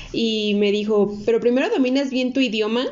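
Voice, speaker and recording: A woman talks in an ordinary speaking voice. Her pitch is fairly high and her pace moderate. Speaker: podcast co-host. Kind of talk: casual chat.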